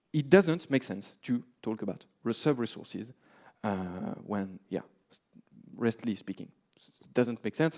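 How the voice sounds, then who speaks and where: Man, moderate pace, lively intonation. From France. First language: French. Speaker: software developer, conference speaker. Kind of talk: conference talk. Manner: many filler words (uh, um).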